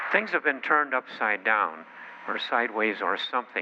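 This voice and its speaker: Over noticeable background noise, a man with an American accent speaks with lively intonation. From Chicago, US Midwest. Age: 90s. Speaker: company founder and political speaker. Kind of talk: political speech. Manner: halting, many fillers.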